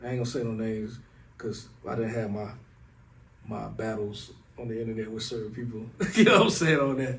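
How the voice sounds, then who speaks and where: Speaking at a fairly quick pace with a Southern US accent, a man shows ordinary pitch variation against audible room echo. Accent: Southern, country. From US South, Raeford, North Carolina. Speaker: rapper. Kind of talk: casual interview chat. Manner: laid-back, conversational with filler phrases.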